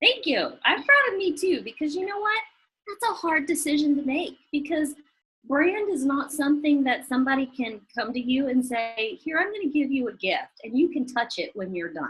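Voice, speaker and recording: A woman speaks with a strong Southern US accent. Her high-pitched voice swings very widely in pitch. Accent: strong Southern US drawl. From US South. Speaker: chef and business owner. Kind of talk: interview.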